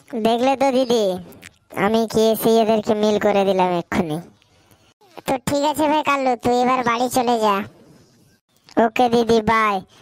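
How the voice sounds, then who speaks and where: A woman in a cartoonish character voice speaks at a moderate pace with fairly high pitch and very even loudness. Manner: brash, casual.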